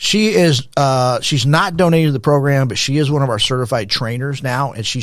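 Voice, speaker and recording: A man with a normal speaking voice and an American accent, medium pitch, ordinary pitch variation and a moderate pace, on a very clean recording with a silent background. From Texas, El Paso. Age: 60s. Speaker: former pastor, nonprofit founder. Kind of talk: podcast interview.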